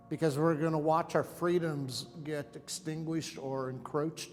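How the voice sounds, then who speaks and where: A man with an American accent talks at a fairly slow pace and fairly even intonation, with music in the background. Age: 50s. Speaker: conservative parent on debate show. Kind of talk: debate.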